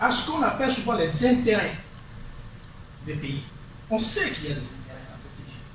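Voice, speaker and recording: With a high pitch and very wide pitch swings, a man talks at a moderate pace, leaving long, frequent pauses and making big swings in loudness. Audible room echo and noticeable background noise fill the recording. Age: 60s. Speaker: lawyer. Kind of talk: meeting discussion. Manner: halting.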